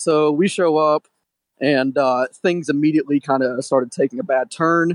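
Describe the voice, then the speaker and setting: In a normal speaking voice, a man with an American accent talks at a moderate pace, with ordinary pitch variation and very even loudness. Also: fairly high pitch for a man, dry, close sound with no echo. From Detroit, Michigan. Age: 20s. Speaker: caller. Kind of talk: anecdote on a call-in show.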